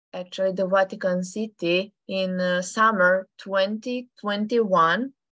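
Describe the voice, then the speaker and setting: Speaking at a very slow pace, a woman with a Serbian accent uses a medium pitch and fairly even intonation. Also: dry, close sound with no echo. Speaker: amateur radio operator. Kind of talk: presentation. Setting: video call. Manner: halting.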